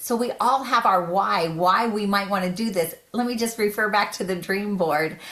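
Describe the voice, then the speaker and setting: Over noticeable background noise, a woman speaks in an animated tone at a moderate pace. Her pitch varies in an ordinary way. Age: 60s. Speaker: direct sales consultant. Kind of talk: sales pitch. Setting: video call.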